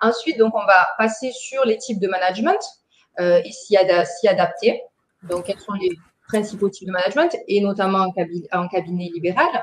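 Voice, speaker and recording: A woman talks at a moderate pace in a strong Marseille accent, her pitch medium with ordinary variation. Her loudness swings widely. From southern France, Bouches-du-Rhône. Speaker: trainer, dental centre manager. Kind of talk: webinar training presentation. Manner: hesitant, many fillers.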